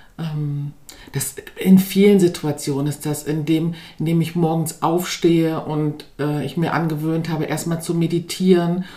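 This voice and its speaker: Speaking at a moderate pace, a woman with a dark, mellow tone and a fairly low pitch keeps her intonation monotone and flat. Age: 40s. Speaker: former course participant, mother, NGO worker. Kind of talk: interview. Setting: in person, sitting together over tea.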